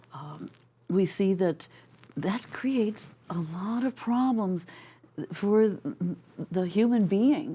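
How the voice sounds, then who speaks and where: Speaking at a very slow pace, a woman has a medium pitch, a somewhat breathy, dark, mellow tone and lively intonation. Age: 60s. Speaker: wellness technology advocate. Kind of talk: interview.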